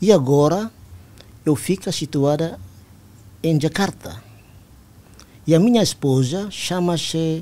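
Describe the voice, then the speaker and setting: With a dark, mellow tone and a fairly high pitch, a man speaks at a very slow pace. His intonation is lively, broken by long, frequent pauses. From East Timor. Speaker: army general; guest. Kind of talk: interview. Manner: formal. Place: studio. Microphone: studio mic.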